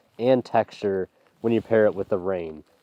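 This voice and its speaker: The man's voice sits at medium pitch with fairly even intonation. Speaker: landscape photographer vlogger. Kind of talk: outdoor vlog narration. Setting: outdoors in rain. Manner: casual, with fillers and repeats; talking loud. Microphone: mic under raincoat, may sound muffled.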